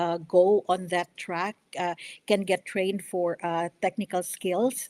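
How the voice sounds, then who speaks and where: Speaking with a Filipino accent, a woman goes at a very slow pace in a monotone, flat intonation, the sound dry and close with no echo. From Philippines. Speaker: congressional candidate. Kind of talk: radio interview. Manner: halting, many fillers.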